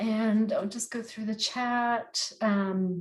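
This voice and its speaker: In an American accent, a woman speaks at a very slow pace. Music plays in the background. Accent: American, after 25+ years in Northern Ireland. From United States. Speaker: gardening workshop tutor. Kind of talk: online workshop tutorial. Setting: video call. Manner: hesitant, many fillers.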